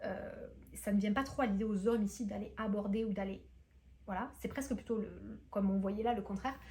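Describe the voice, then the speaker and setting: A woman's fairly quick speech echoes audibly around the room. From France. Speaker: booktuber and entrepreneur. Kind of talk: vlog monologue. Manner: hesitant, many fillers.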